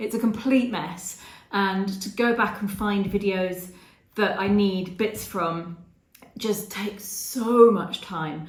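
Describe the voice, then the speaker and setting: A woman with an English accent speaks at a medium pitch and a very slow pace, with audible room echo. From England. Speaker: travel vlogger. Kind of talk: casual Q&A monologue.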